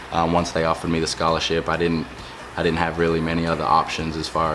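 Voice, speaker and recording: A man with an Australian accent, very deep and low-pitched, very fast and monotone with flat intonation, amid noticeable background noise and audible room echo. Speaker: professional football player. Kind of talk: interview. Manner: hesitant, many fillers.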